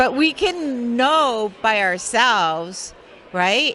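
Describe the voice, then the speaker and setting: A woman speaks with very wide pitch swings. Noticeable background noise can be heard. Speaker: interviewer. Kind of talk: interview question. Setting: expo floor.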